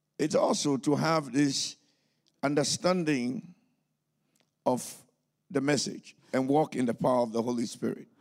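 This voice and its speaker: Using lively intonation, a man with a fairly high pitch talks at a fairly slow pace with long, frequent pauses. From Ghana. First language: English or a Ghanaian language, German learned later (speaking German). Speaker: pastor and missionary. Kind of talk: sermon. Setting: church service.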